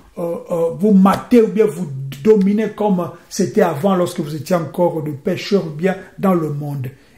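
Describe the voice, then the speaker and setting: Noticeable background noise and audible room echo fill the recording. The delivery is fairly slow. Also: man. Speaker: preacher. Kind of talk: sermon.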